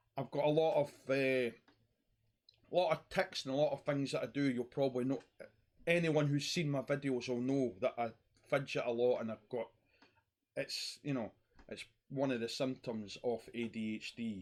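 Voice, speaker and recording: A medium-pitched man with a Scottish accent, at a moderate pace with ordinary pitch variation and long, frequent pauses. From Scotland. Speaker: YouTuber talking about mental health. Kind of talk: personal monologue vlog.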